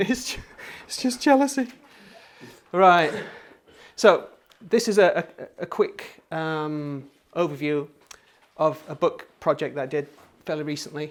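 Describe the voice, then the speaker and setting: The speaker has a Yorkshire accent and a fairly slow pace. The intonation is lively. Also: man. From Yorkshire, northern England. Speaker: creative workshop teacher and designer. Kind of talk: workshop talk. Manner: halting.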